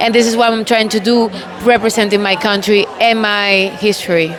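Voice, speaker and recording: A woman with a non-native accent, fairly high pitch and fairly even intonation, over noticeable background noise. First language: not English. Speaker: beauty pageant contestant. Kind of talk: interview.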